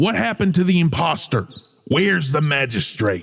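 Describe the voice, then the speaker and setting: A man's put-on character voice, fairly high and at a moderate pace, with very wide pitch swings. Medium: actual play. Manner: gruff, commanding.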